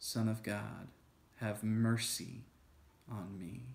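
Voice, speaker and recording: A man speaks at a very slow pace with fairly even intonation. His tone is calm and soothing. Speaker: church video host. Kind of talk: guided breath prayer, led slowly with spoken prayers and breaths. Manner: calm, slow, soothing, gentle pacing; halting with frequent fillers in teaching. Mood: calm, gentle, contemplative. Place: home room. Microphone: phone near.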